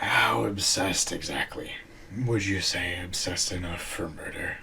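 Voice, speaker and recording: In a raspy, put-on character voice with a very deep, low pitch, a man speaks at a moderate pace over clear background noise. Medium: audio drama. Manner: calm, formal.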